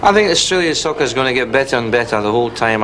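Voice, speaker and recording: With a Scottish accent, a man talks at a very fast pace against noticeable background noise. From Scotland. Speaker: football coach. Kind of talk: interview.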